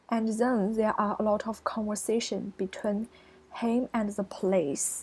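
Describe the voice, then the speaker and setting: A very slow, somewhat breathy delivery with a Chinese accent and fairly even intonation. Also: woman. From China. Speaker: college student. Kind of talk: screencast presentation. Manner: halting.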